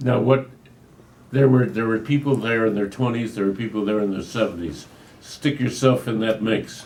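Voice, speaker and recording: An unremarkable speaking voice, moderately paced, its pitch varying in an ordinary way. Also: man, medium pitch for a man. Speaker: interviewer. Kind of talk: casual interview questions.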